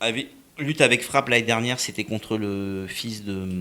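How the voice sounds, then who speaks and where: A man speaks with a bright, sharp tone. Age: 50s. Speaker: boxing and fitness coach. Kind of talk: interview. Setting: studio. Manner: halting.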